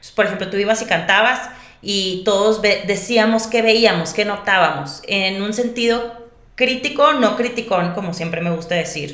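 A woman's medium-pitched voice with a Monterrey accent, a fairly slow pace and ordinary pitch variation, plus audible room echo and noticeable background noise. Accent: Monterrey (regio) Mexican Spanish. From Mexico, Monterrey. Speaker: vocal coach and singer-songwriter. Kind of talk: interview.

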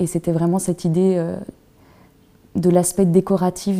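Speaking at a fairly slow pace, a woman uses a fairly low pitch and a dark, mellow tone, her intonation monotone and flat. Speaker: visual artist. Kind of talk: interview.

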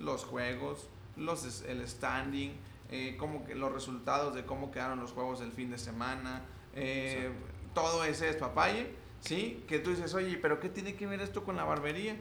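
A man with a medium pitch talks at a fairly slow pace, his pitch swinging very widely. There is audible room echo along with noticeable background noise. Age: 20s. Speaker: personal branding agency owner. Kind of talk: casual interview chat.

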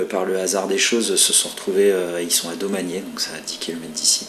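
Amid noticeable background noise and audible room echo, a man with a very deep, low pitch speaks at a moderate pace in a flat, monotone way. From France, Brittany (Rennes area). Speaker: furniture and object designer. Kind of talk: interview.

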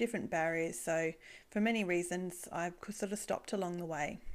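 In a very clean recording with a silent background, a woman speaks at a moderate pace with an Australian accent. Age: 40s. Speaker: podcast host, e-commerce business owner. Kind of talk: solo podcast monologue.

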